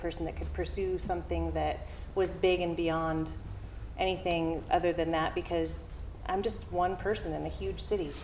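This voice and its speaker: In an American accent, a soft-spoken voice talks at a fairly quick pace with audible room echo. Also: woman. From Southern California (San Diego area). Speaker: town hall speaker, arts organization staff. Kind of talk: personal story at public talk. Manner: halting, many fillers.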